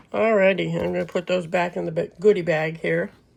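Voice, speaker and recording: A woman talks at a moderate pace while noticeable background noise plays around her. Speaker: crafting YouTuber. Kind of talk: product unboxing review. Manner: loud; casual, chatty.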